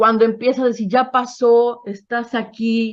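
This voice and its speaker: A woman is talking. Her voice is fairly high-pitched. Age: 60s. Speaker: psychotherapist sharing a past-life regression experience. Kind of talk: testimony. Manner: halting.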